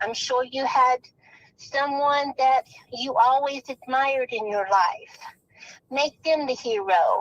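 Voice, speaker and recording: A woman's high-pitched voice at a very slow pace, long and frequent pauses, ordinary pitch variation, and a dry, close sound with no echo. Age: 60s. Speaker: caller. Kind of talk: plea to kidnapper on call-in show.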